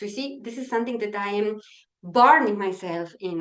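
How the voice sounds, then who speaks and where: With a Polish accent, the speaker talks at a moderate pace with lively intonation. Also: woman. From Poland. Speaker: mediation trainer. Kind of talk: webinar presentation. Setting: online webinar. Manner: energetic.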